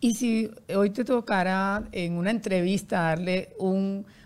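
On a very clean recording with a silent background, a woman uses a plain, everyday voice at medium pitch with fairly even intonation. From Colombia, Barranquilla. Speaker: podcast host and publicist. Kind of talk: interview.

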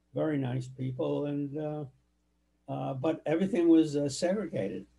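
Mellow and dark in tone. There's a somewhat breathy quality to it. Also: man. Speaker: family elder interviewed for oral history. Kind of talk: oral history interview. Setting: home office. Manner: halting.

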